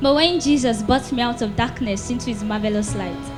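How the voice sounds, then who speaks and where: Music plays in the background as a woman delivers her lines in a dramatic tone at a fairly quick pace. Her voice is fairly high, with ordinary pitch variation. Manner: rhythmic, expressive, dramatic delivery.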